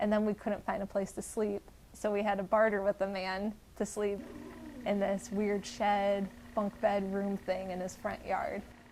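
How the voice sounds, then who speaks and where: At a moderate pace, a woman with a Midwestern American accent speaks in a monotone, flat intonation. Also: medium pitch for a woman. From northeastern Ohio. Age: 20s. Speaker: traveler. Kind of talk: interview answers. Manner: casual.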